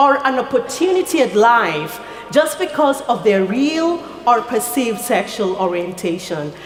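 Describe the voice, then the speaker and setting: Noticeable background noise and audible room echo surround a woman speaking at a fairly slow pace. Her high pitch swings very widely. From rural Kenya. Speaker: nonprofit founder. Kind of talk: speech. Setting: stage with audience. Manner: formal.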